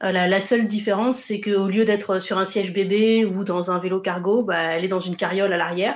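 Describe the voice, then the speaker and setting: A fairly even, medium-pitched woman's voice at a moderate pace, an unremarkable speaking voice. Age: 30s. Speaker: travel blogger and photographer. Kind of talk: interview testimony.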